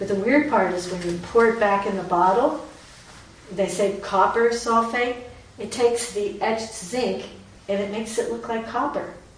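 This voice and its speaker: A woman with a fairly high voice speaks in a fairly even tone, leaving long, frequent pauses over noticeable background noise. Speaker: artist and exhibit curator. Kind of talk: gallery talk. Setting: gallery with audience.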